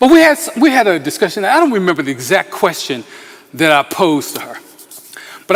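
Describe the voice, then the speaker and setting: Amid noticeable background noise, a man with an American accent speaks at a moderate pace, his high pitch making very wide swings. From Philadelphia, US Northeast. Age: 60s. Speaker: pastor. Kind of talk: talk to a community meeting. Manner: halting, many fillers.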